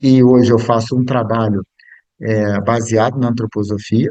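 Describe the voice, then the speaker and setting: The man has a dark, mellow tone. He talks at a moderate speed. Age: 60s. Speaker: biographical counselor and speaker. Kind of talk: lecture. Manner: halting.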